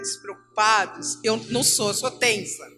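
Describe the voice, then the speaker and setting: Music plays in the background as a woman talks at a very slow pace. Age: 60s. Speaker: retired teacher, church speaker. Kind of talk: church teaching talk. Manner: animated.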